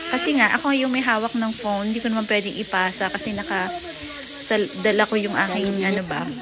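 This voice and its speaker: Background noise is noticeable. A woman speaks with audible room echo around her. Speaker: vlogger. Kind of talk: casual vlog narration. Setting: outdoors. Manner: loud.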